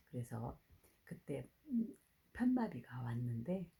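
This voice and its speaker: Very slow and somewhat breathy, a woman speaks with a very deep, low pitch and a dark, mellow tone. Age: 60s. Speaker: network marketing distributor. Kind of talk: testimony.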